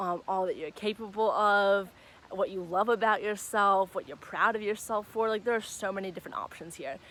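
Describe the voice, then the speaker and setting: This is a normal speaking voice, moving at a moderate pace and showing ordinary pitch variation. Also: woman. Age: 20s. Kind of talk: casual talk to camera. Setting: outdoors. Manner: upbeat, encouraging.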